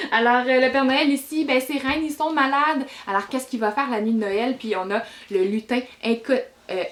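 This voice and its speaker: A high-pitched woman at a fairly quick pace, her pitch varying in an ordinary way. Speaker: book reviewer. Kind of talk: casual book review vlog. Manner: hesitant, many fillers.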